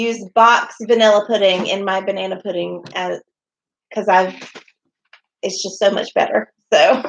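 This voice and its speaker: Speaking in a Southern US accent at a fairly slow pace, a woman uses monotone, flat intonation with long, frequent pauses. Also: medium pitch for a woman. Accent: mild Southern. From US South. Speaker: homesteading vlogger. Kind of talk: livestream chat. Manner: clear enunciation.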